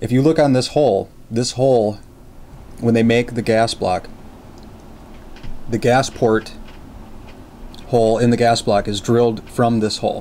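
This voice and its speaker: A man's fairly even intonation goes with a moderate pace. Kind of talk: tutorial. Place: workshop.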